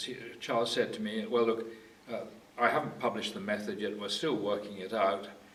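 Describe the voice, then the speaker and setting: A man talks at a fairly low pitch. Audible room echo and noticeable background noise surround his voice. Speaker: retired medical geneticist. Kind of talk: oral history interview. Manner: halting, many fillers.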